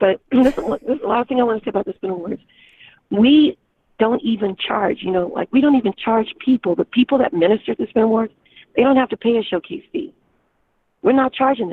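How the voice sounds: A woman puts on a hoarse character voice, fairly high in pitch. She moves at a fairly quick pace with lively intonation.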